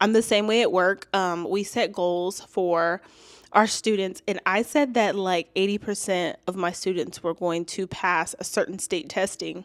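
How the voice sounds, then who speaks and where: A woman speaks at a fairly slow pace in an ordinary speaking voice, medium in pitch. Her intonation stays fairly even. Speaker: YouTuber and teacher. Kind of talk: vlog monologue. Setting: home, toddler sleeping. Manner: casual.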